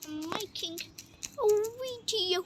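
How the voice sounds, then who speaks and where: Through noticeable background noise, a woman speaks at an extremely high pitch. Her pace is very slow and her pitch variation ordinary. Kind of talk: casual gameplay commentary.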